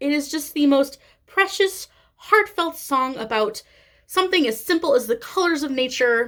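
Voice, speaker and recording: This woman speaks with a strong Midwestern accent at a fairly slow pace. Her high pitch swings very widely. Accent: thick Midwestern. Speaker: cross-stitch vlogger. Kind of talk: casual vlog monologue. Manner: hesitant, many fillers.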